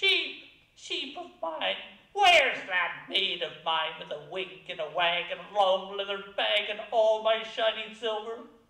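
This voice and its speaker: Putting on a character voice, a man speaks at a fairly slow pace with a high pitch and a slight echo. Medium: read story. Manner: stern, commanding.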